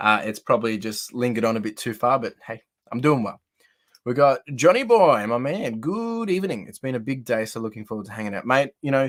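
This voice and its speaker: Speaking fairly quickly with an Australian accent, a man uses a medium pitch and ordinary pitch variation. His loudness swings a lot. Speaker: live streamer, card collector. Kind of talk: casual live-stream chat. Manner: chatty, friendly.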